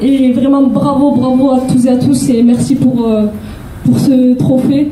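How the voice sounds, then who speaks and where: A woman with a Toulouse accent speaks at a fairly slow pace, her high voice shaky and monotone with flat intonation. Noticeable background noise and audible room echo surround her. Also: very even loudness. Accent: southern French (Toulouse). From Toulouse, southern France. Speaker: charity president, award winner. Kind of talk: acceptance speech. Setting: stage with audience, microphone. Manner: shaky, halting.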